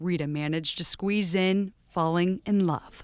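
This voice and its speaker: Speaking at a fairly slow pace, a woman has medium pitch, ordinary pitch variation and an unremarkable speaking voice. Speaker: TV news reporter. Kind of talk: TV news report narration.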